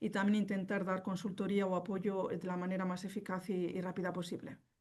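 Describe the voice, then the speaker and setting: A woman's dark, mellow tone. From northern Spain (Vitoria). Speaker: company representative, contact lens specialist. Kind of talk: webinar presentation. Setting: online webinar. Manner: fast.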